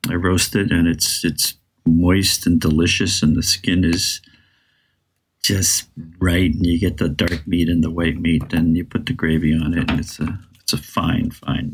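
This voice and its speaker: Somewhat breathy, a man speaks at a fairly slow pace in a very deep, low pitch. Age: 60s. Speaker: podcast co-host. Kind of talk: casual chat. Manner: animated.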